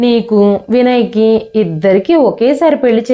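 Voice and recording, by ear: Text read aloud in a natural voice, with ordinary shifts in pitch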